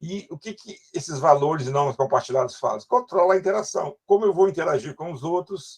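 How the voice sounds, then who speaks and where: Here a man is speaking. His intonation is lively. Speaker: university lecturer. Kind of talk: lecture. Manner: fast.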